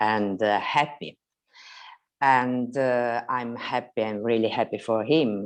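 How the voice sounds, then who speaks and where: With an Italian accent, a woman talks very slowly in a very deep, low pitch. Her intonation is fairly even, and the background is quiet. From Italy. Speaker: mother asking a question. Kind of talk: asking for advice in a video conversation. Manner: halting, many hesitations.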